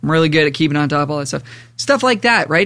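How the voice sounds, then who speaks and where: With a bright, sharp tone, a man speaks in a fairly high voice. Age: 30s. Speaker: podcast host and musician. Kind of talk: casual chat. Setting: remote recording from home.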